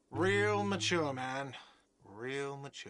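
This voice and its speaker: Using a put-on, whiny character voice, a man speaks at a medium pitch. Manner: shouting.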